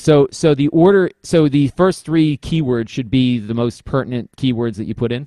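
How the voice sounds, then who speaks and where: A man speaks at a fairly high pitch with a dark, mellow tone and lively intonation, hardly pausing, in a dry, close sound with no echo. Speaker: podcast host and product reviewer. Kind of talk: casual chat. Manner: fast.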